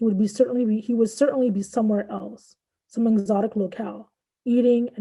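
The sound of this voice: A quiet background under an unforced reading voice of fairly even intonation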